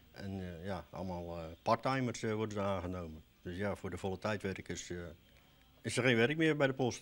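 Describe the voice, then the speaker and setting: A man speaks at a fairly low pitch and a moderate pace with ordinary pitch variation. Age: 50s. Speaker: former postal sorting worker. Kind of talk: news interview. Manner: halting, many hesitations. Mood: calm, matter-of-fact. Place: office. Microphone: handheld.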